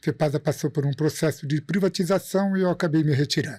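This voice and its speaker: A man's fairly high voice, an ordinary speaking voice with ordinary pitch variation, in a dry, close sound with no echo and a very clean, silent background. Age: 50s. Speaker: industrial maintenance engineer and teacher. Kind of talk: podcast interview.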